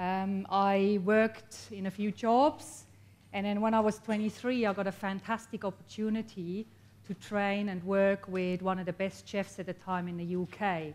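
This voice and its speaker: Here a woman speaks at a moderate pace. Her pitch is medium and her intonation fairly even. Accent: Swiss. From Switzerland. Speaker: copywriter and entrepreneur. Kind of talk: motivational talk to an audience. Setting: stage with audience.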